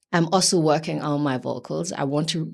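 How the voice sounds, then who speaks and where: A woman speaks at a moderate pace with a very deep, low pitch and vocal fry. Her intonation is fairly even, and the recording is very clean with a silent background. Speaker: singer in indie pop duo. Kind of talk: interview.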